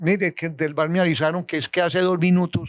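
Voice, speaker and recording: A man with a Colombian accent, moderate pace, quiet background. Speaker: retired football referee. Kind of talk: interview answer.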